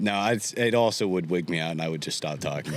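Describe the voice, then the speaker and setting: At a very fast pace, a man talks in a very deep, low voice over noticeable background noise. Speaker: aircraft mechanic, A&P school graduate. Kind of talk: casual chat. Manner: raised pitch customer service voice; animated.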